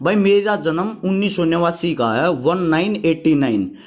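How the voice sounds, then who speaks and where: A man's voice with lively intonation. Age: 30s. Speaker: fitness YouTuber. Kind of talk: informal advice vlog. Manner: conversational.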